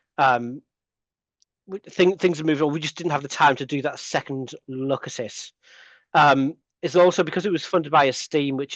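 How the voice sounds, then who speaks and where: An English accent with ordinary pitch variation, in a dry, close sound with no echo. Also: man, quiet background. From England. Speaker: lecturer in computing, conference presenter. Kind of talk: conference Q&A answer. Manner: hesitant, many fillers and restarts.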